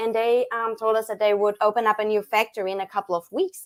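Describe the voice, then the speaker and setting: In a German accent, a woman speaks at a moderate pace and a fairly high pitch. The recording is very clean and dry, with a silent background and a close sound with no echo. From Germany, small town. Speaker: chocolatier, business owner. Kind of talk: live stream interview. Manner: hesitant, many fillers.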